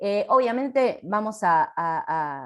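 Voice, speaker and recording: Very wide pitch swings in a Rioplatense accent. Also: woman. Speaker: occupational therapist. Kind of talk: lecture.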